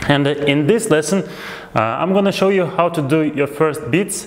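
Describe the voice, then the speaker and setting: A man talks with lively intonation at a moderate pace. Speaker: music teacher. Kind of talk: tutorial. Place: home room. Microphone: lapel.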